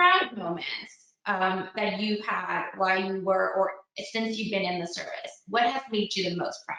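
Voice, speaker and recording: With a Spanish accent, a woman speaks at a moderate pace amid audible room echo. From Mexico. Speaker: panel moderator. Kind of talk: panel discussion.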